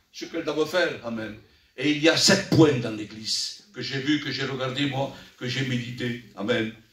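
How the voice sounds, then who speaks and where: Noticeable background noise and audible room echo surround a man speaking at a moderate pace. His pitch is medium, with ordinary pitch variation. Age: 60s. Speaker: church elder preacher. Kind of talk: sermon.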